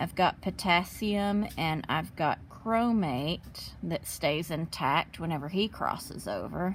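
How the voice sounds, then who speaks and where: A woman is speaking. Her voice has vocal fry. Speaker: chemistry teacher. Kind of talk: tutorial.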